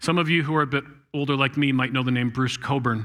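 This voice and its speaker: On a very clean recording with a silent background, a man with a Canadian accent speaks with fairly high pitch and a bright, sharp tone. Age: 60s. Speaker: guest speaker. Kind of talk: sermon. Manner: fast.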